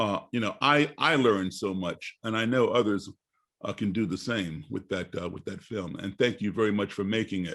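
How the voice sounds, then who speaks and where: A man with an unremarkable speaking voice, fairly low in pitch, with ordinary pitch variation, a moderate pace and a quiet background. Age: 60s. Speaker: panel host. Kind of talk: panel discussion.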